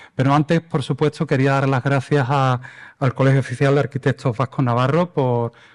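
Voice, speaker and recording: In an Andalusian accent, a man speaks at a fairly quick pace with a fairly high pitch, a monotone, flat intonation and very even loudness, the sound dry and close with no echo over a quiet background. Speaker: environmental lawyer. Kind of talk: lecture. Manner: hesitant, with fillers.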